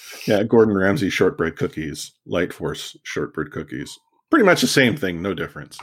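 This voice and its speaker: An ordinary speaking voice from a man, fairly low in pitch with lively intonation and a moderate pace, on a very clean recording with a silent background. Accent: Canadian. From Canada, Vancouver. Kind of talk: casual chat.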